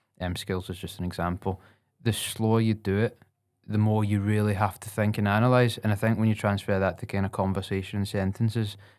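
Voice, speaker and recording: Monotone, flat intonation and a fairly quick pace come from a man with a fairly low pitch, heard in a very clean recording with a silent background. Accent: Scottish. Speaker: podcast host and saxophonist. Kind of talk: casual chat.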